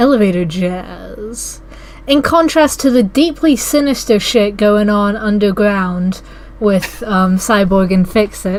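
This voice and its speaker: Over noticeable background noise, a woman speaks very slowly at a medium pitch with lively intonation. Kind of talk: casual podcast discussion.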